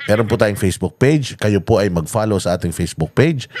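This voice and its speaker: Animated in tone, a man with a fairly low pitch speaks at a very fast pace. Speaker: political commentary vlogger. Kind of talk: casual news reaction vlog.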